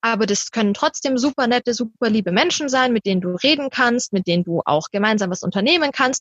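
A woman talks at a very fast pace with hardly any pauses. Her fairly high pitch moves in lively intonation. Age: 20s. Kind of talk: interview.

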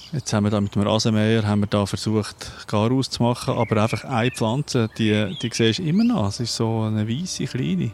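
A man's fairly quick, medium-pitched delivery in a normal speaking voice. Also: ordinary pitch variation, hardly any pauses. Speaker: podcast host and producer. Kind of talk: casual chat. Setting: outdoors in a garden.

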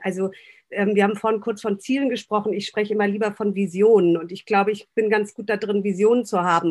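Using an ordinary speaking voice, a woman talks at a fairly quick pace, medium in pitch, with ordinary pitch variation. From northern Germany, Baltic coast. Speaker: restaurant owner and consultant. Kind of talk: podcast interview.

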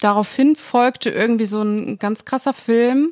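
Very slow and fairly even in intonation, the speech comes through dry and close with no echo in a very clean recording with a silent background. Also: woman. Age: 20s. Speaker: podcast co-host, bereaved mother. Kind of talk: casual chat.

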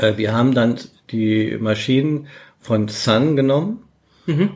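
A man's medium-pitched voice shows ordinary pitch variation and moves at a fairly slow pace. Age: 60s. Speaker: search engine optimization veteran. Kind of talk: casual interview.

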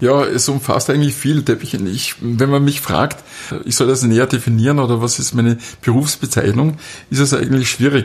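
A man's medium-pitched, somewhat breathy voice at a moderate pace, with fairly even intonation. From Austria, southern Styria. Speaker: carpet dealer and designer. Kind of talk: interview. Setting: carpet gallery, muffled acoustics.

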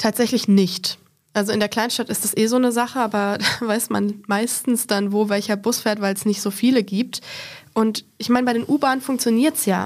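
A woman with an ordinary speaking voice, fairly even intonation, and a moderate pace. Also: fairly high pitch for a woman. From German small town. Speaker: guest with visual impairment on accessibility. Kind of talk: casual panel discussion. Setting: studio.

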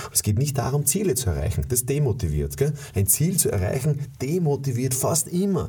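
Over noticeable background noise, a man with a medium pitch speaks at a fairly quick pace with lively intonation. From USA. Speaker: sales trainer. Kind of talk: motivational monologue. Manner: animated; halting with repetitions.

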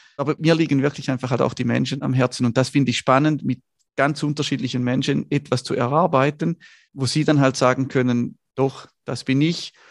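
A normal speaking voice from a man, at medium pitch with fairly even intonation, moves at a fairly quick pace in a dry, close sound with no echo. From northern Switzerland, Schaffhausen. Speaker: photographer and entrepreneur. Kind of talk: interview conversation.

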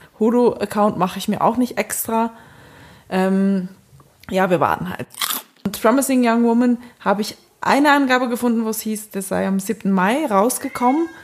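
A woman with a fairly high pitch speaks at a moderate pace. Her pitch varies in an ordinary way, and she takes long, frequent pauses. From Switzerland. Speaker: podcast co-host. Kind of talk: casual chat.

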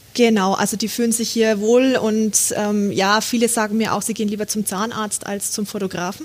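Her fairly high voice moves at a moderate pace in a flat monotone with hardly any pauses, while noticeable noise sits in the background. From Franconia, Germany. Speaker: photographer. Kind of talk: casual interview.

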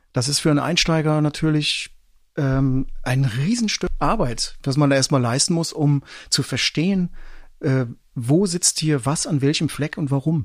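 In a very clean recording with a silent background, a man with a plain, everyday voice speaks fairly slowly at a fairly high pitch, his loudness very even and his pitch variation ordinary. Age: 50s. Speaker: podcast co-host, musician and journalist. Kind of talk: casual chat.

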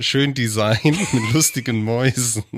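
Ordinary pitch variation runs through a man's medium-pitched speech. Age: 40s. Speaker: podcast co-host and producer. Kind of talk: casual chat.

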